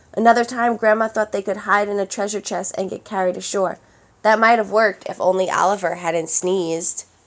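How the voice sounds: The recording carries a natural reading voice.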